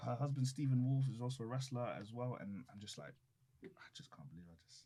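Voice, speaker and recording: A man with a British accent speaks at a very fast pace in a medium pitch, his tone dark, mellow and somewhat breathy. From London, England. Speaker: professional wrestler. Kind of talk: casual chat. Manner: animated.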